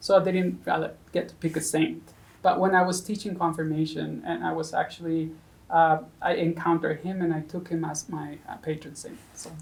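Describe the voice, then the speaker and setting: In a Spanish accent, a woman talks with fairly low pitch, vocal fry and fairly even intonation. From Mexico. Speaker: seminarian. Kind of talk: interview. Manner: halting, many fillers.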